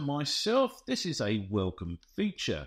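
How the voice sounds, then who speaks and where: Over a quiet background, a man speaks fairly slowly, his pitch swinging very widely. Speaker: software reviewer. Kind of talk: review commentary. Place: home room.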